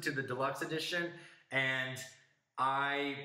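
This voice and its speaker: Recorded with audible room echo, a man talks at a fairly slow pace in a fairly high pitch. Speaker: music podcast host. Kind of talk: casual review discussion. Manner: halting, self-correcting.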